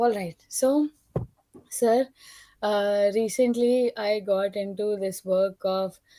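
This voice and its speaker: A woman's dark, mellow voice with a non-native accent, very slow and broken by long, frequent pauses, in a dry, close sound with no echo. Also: medium pitch for a woman, fairly even intonation. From India. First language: not English. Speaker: participant in spiritual discussion. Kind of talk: personal testimony.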